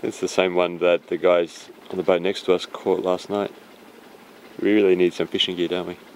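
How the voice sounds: This man has a low pitch and speaks at a moderate pace. There is little pitch movement in his voice.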